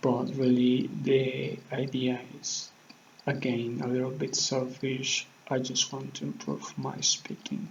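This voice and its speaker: At a very slow pace, a man speaks against noticeable background noise. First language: Spanish. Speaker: vlogger practicing English. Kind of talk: casual monologue to camera. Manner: halting, many fillers.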